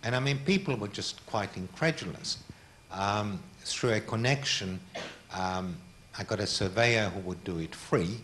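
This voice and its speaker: With a Hungarian accent, a man talks at a fairly slow pace and a fairly low pitch, using lively intonation. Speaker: art collector. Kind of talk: public talk.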